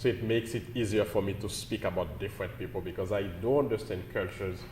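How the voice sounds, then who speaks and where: Somewhat breathy and very fast, a man talks with a Haitian accent and ordinary pitch variation. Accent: Caribbean (Haitian). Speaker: pastor. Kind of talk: interview.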